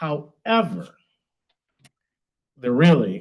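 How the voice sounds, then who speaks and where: Vocal fry runs through this man's speech, with an American accent. His pitch swings very widely. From Michigan, Midland area. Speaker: pastor and city council candidate. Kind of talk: campaign speech at meeting.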